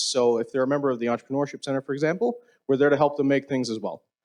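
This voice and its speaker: Fairly high in pitch, a man speaks with a Newfoundland accent. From Newfoundland, Canada. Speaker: event organizer. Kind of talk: event opening remarks. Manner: fast.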